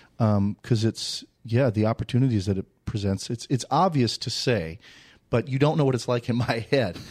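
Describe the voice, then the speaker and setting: On a very clean recording with a silent background and a dry, close sound with no echo, a man in an unremarkable speaking voice talks at a moderate pace with medium pitch and ordinary pitch variation. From Minnesota (Saint Paul). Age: 30s. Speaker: real estate agent. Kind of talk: casual interview.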